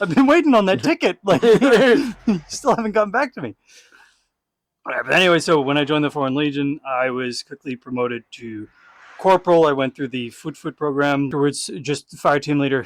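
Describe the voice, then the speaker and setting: Fairly high-pitched male speech at a fairly quick pace, with lively intonation and a dry, close sound with no echo. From Texas. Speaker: former legionnaire, podcast host. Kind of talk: casual chat.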